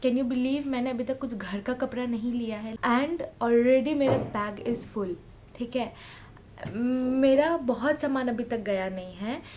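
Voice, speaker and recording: Her pitch is high, with ordinary variation and a fairly slow pace. Noticeable background noise runs underneath. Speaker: vlogger. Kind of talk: casual vlog talk.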